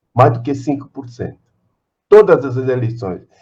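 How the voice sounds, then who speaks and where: The voice is somewhat breathy. It keeps a moderate pace with lively intonation. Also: man. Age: 80s+. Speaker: political activist, party co-founder. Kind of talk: speech at a virtual meeting. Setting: video call. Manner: repetitive, halting.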